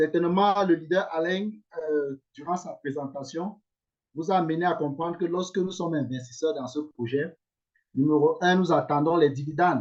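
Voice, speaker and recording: A man talks at a moderate pace. His pitch is fairly high and his intonation fairly even. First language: English (speaking French). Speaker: investment scheme promoter. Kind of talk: online investment presentation. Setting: video call. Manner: hesitant, many fillers.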